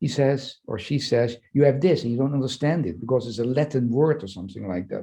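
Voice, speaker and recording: This man's voice sits at medium pitch and sounds somewhat breathy. Its tone is dark and mellow. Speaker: psychoanalyst and leadership professor. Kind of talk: interview conversation. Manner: fast; halting, many fillers and repetitions.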